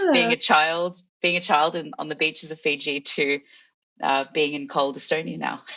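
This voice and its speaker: A woman's very deep, low voice at a moderate pace. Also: ordinary pitch variation. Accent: Australian. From Australia. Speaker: head of content at an e-residency program. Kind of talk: casual interview.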